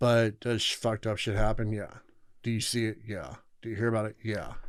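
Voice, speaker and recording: In a very clean recording with a silent background, a man of medium pitch speaks fairly quickly in a monotone, flat intonation. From Southern California. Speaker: former inmate. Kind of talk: casual interview.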